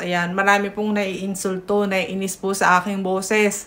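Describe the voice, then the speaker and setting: A woman at a medium pitch, very slow, with monotone, flat intonation. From Philippines, provincial. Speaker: news vlogger. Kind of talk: casual news commentary. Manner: loud. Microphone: no microphone.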